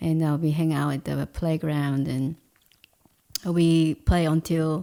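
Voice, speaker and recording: A woman speaks at a very slow pace in a very deep, low voice with a dark, mellow tone and monotone, flat intonation. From South Korea, Seoul. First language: Korean. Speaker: painter and food stall owner. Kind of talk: interview.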